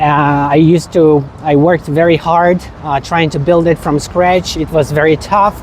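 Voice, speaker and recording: The pace is moderate. Noticeable background noise runs throughout. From Ukraine, Kyiv. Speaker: travel vlogger. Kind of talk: travel vlog. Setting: outdoors walking in a city. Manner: casual with many fillers.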